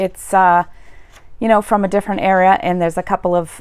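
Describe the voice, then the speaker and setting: With a Boston accent, a woman talks at a very fast pace in a medium pitch. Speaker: YouTuber, literature commentator. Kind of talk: casual commentary. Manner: hesitant, many fillers.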